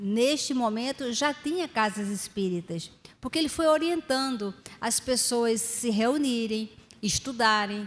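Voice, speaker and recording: A woman speaks at a very slow pace, her high-pitched voice showing ordinary pitch variation. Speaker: lecturer. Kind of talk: religious lecture. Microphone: studio mic.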